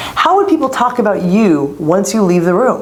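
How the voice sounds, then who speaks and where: A woman's pitch swings very widely. Audible room echo and noticeable background noise surround her. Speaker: leadership coach. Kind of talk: motivational talk. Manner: fast.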